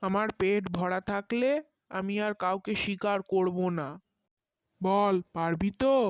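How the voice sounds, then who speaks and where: A gruff, put-on character voice speaks at a fairly slow pace. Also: female-sounding voice, medium pitch for a woman. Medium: cartoon. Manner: gruff, blunt, addresses man with familiar "tui".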